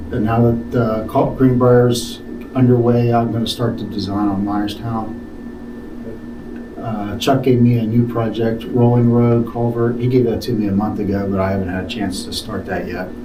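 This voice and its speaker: A man speaks at a moderate pace in a medium pitch with fairly even intonation. The recording has audible room echo and noticeable background noise. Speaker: township engineer. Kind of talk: public meeting report. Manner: quiet.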